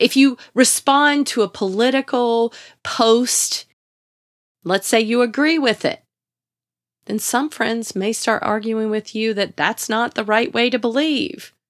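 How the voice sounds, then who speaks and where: A woman with a Southern US accent, fairly high pitch and warm tone, at a fairly slow pace with ordinary pitch variation, in a dry, close sound with no echo and a very clean recording with a silent background. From US South. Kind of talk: devotional talk. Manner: warm, encouraging.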